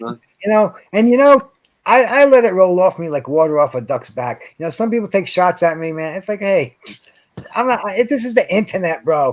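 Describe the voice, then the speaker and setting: Talking at a moderate pace, a man with a high pitch uses an animated tone and very wide pitch swings. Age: 60s. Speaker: boxing fan commentator. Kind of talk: casual chat. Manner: animated, repetitive stammering.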